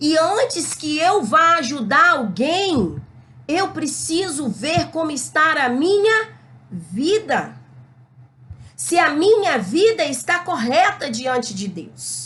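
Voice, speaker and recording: A loud woman speaks at a high pitch and a very slow pace. Her bright, sharp tone moves through very wide pitch swings. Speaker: Bible teacher. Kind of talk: Bible lesson. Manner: not gentle, can sound hard. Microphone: records without a microphone.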